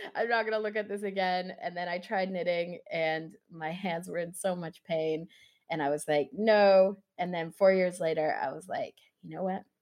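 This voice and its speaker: At a moderate pace, a woman talks in an ordinary speaking voice with fairly low pitch. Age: 20s. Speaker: knitwear designer and maker. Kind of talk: interview.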